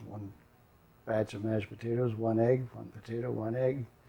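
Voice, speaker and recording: A man talks at a moderate pace in an Upper Midwest accent. His medium-pitched delivery is monotone and flat. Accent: Upper Midwest American. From North Dakota. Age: 80s+. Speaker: retired grandfather. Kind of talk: oral history interview. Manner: halting.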